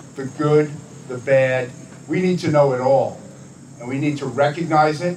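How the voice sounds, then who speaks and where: Audible room echo and noticeable background noise surround a man speaking with fairly even intonation. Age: 70s. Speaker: elected official, assemblyman. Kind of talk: dedication speech. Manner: halting, many fillers and restarts.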